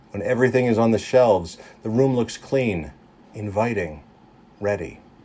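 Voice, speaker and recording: The speaker uses a normal speaking voice with ordinary pitch variation. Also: man, medium pitch for a man. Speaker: preacher giving a sermon. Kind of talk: guided meditation sermon. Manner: calm, slow, gentle.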